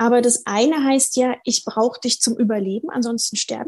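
The voice has a dark, mellow tone and fairly even intonation at a moderate pace. The sound is dry and close, with no echo. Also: woman. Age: 40s. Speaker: couples therapist. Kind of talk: casual interview chat.

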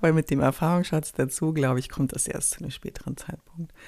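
Her pace is fairly quick. This woman has a fairly low voice with a dark, mellow tone. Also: very clean recording, silent background. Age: 40s. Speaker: startup consultant and podcast host. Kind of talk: solo podcast monologue. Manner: animated.

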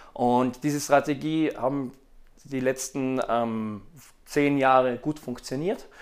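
Recorded very cleanly against a silent background, a man speaks at a very slow pace. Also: medium pitch for a man, fairly even intonation. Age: 30s. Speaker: fashion retail managing director. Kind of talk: interview. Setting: on location at an agency.

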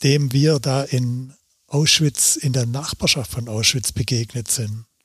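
On a very clean recording with a silent background, a man with a somewhat breathy, medium-pitched voice speaks at a fairly slow pace with fairly even intonation. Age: 60s. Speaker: documentary photographer. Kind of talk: interview.

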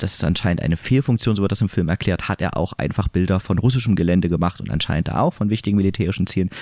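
This man's voice is fairly low in pitch. It shows ordinary pitch variation. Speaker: podcast co-host, film reviewer. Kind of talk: casual chat.

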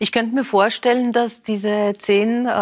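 In a very clean recording with a silent background, a woman with an unremarkable speaking voice talks at a moderate pace with fairly even intonation. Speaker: talk show host. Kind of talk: interview, talk show. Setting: studio.

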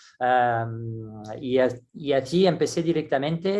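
Speaking with a French accent, a man keeps to a medium pitch. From France. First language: French (speaking Spanish). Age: 60s. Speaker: gymnastics coach. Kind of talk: interview. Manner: halting, with many restarts and fillers.

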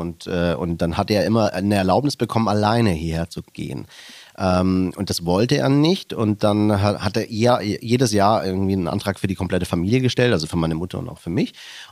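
Fairly quickly and with ordinary pitch movement, a man talks in a very deep, low register. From Germany, Stuttgart area (fled from Slovakia at six). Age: 40s. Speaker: podcast co-host, businessman. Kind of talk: casual chat.

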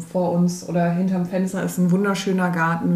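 Noticeable background noise and audible room echo under a fairly slow pace of speech. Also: woman. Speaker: nurse coach and podcast co-host. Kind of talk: casual chat. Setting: kitchen table in a rented holiday home. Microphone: one shared mic clipped to a magazine, laptop.

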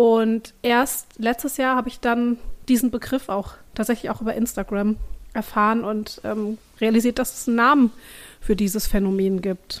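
In a very clean recording with a silent background, a woman with an unremarkable speaking voice talks at a moderate pace and a fairly high pitch, keeping her intonation fairly even. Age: 30s. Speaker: parenting writer on social media. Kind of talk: casual chat.

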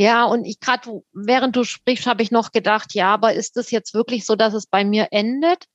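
In a dry, close sound with no echo, a woman with a Swabian accent speaks at a moderate pace with a fairly high pitch, fairly even intonation, and hardly any pauses. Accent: Swabian, audible. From Württemberg, Rems-Murr district near Stuttgart. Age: 30s. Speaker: theologian working in education equity. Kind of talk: casual conversation.

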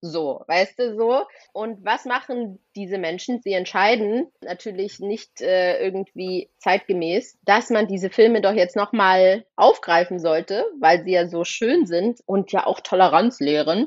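Hardly pausing at all, a woman of medium pitch talks at a fairly slow pace. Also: ordinary pitch variation. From Thuringia, eastern Germany (Rudolstadt). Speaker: actress and filmmaker. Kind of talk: casual chat. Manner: animated.

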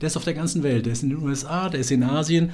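A man speaks at a fairly quick pace in a somewhat breathy voice. His pitch is fairly high, with ordinary pitch variation. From Central Hesse, Germany (Marburg). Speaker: business development agency director. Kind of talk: interview. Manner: animated.

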